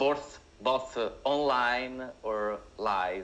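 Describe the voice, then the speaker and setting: A man speaks with an Italian accent. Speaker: screenwriter and director. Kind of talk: talk. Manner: halting.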